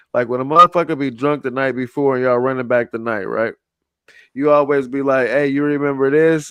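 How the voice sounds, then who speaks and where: The voice moves at a fairly quick pace with an animated tone. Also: man. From Oakland, California. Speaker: podcast host. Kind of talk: casual chat.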